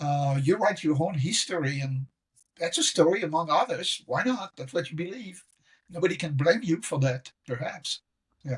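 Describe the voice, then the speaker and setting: A man with a French accent speaks at a moderate pace with a fairly high pitch and lively intonation. The sound is dry and close, with no echo. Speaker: professor. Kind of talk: casual chat.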